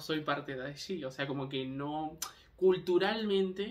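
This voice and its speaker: A fairly high-pitched man with ordinary pitch variation, speaking at a fairly slow pace. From Canary Islands (Tenerife), Spain; born in Argentina. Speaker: vlogger. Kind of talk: casual monologue vlog. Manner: hesitant, many fillers.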